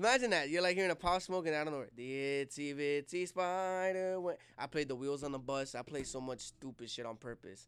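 An animated man with an American accent, fairly high-pitched, at a fairly quick pace with hardly any pauses and ordinary pitch variation, on a very clean recording with a silent background. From New Jersey, Jersey City. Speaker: skateboarder and party host. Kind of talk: casual chat.

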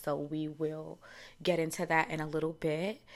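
Fairly low in pitch, a woman speaks with a New York accent at a moderate pace. The recording is very clean, with a silent background. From New York (Harlem). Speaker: podcast host and stylist. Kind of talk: casual chat.

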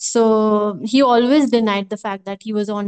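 A woman speaks in a normal speaking voice at a fairly high pitch. The sound is dry and close with no echo, over a quiet background. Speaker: podcast co-host. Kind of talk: casual chat.

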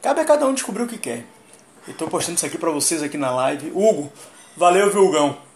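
Over noticeable background noise, a high-pitched man talks very fast yet leaves long, frequent pauses, with very wide pitch swings and big shifts in loudness. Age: 30s. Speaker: livestreamer. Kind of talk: casual livestream monologue.

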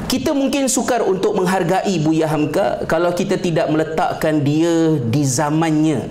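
The speech moves at a fairly slow pace with hardly any pauses, over noticeable background noise. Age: 30s. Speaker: Islamic scholar and speaker. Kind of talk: public talk.

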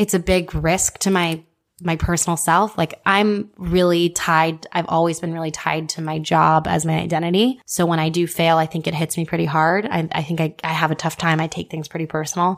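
Speaking in an unremarkable speaking voice, a woman has an American accent and a fairly low pitch. Her pace is fairly quick and her intonation fairly even. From Houston, Texas. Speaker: marketing agency co-founder. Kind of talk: interview.

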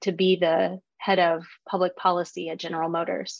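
Against a quiet background, a woman speaks with an American accent. Her pitch is medium and her pace moderate. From Texas, Fort Worth. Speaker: marketing executive. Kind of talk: interview.

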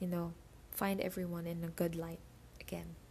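At a moderate pace, a woman with a fairly low pitch speaks in a flat monotone, her tone dark, mellow and somewhat breathy. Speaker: podcaster. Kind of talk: casual solo podcast update. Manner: casual, laughs often.

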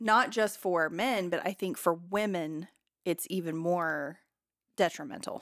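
At a fairly slow pace, a woman speaks in a normal speaking voice, fairly low in pitch with ordinary pitch variation. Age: 30s. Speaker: podcast host. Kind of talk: casual chat.

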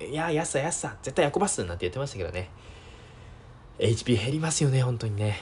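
Talking at a fairly quick pace, a man uses vocal fry and very wide pitch swings, with long, frequent pauses. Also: medium pitch for a man. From Japan, Miyagi (Sendai). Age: 20s. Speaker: podcast host. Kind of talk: casual solo talk. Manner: hesitant, many fillers.

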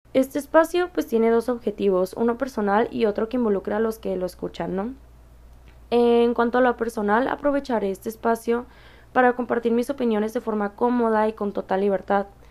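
In a normal speaking voice, a woman talks at a fairly quick pace with a fairly high pitch and ordinary pitch variation. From Mexicali, Baja California, Mexico. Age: 20s. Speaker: podcast host and university student. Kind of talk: solo monologue.

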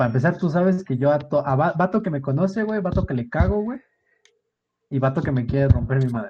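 This man's fairly high voice is somewhat breathy, with a dark, mellow tone, lively intonation and a fairly quick pace. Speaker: podcast co-host. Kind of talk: casual chat.

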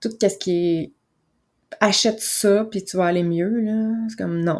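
In a very clean recording with a silent background, a woman with a Quebec accent speaks at a moderate pace in a calm, relaxed tone. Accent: Québécois French. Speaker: wellness coach and podcast host. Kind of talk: motivational monologue.

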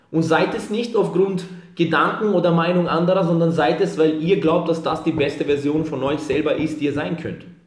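A man with a high pitch and fairly even intonation at a moderate pace, over noticeable background noise. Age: 20s. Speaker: fitness entrepreneur. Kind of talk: motivational pep talk; podcast interview.

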